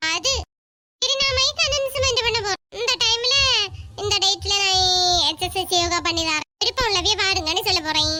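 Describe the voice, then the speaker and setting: A woman does a cartoonish character voice at an extremely high pitch with lively intonation. She goes at a fairly slow pace and her loudness stays very even. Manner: bossy, scolding.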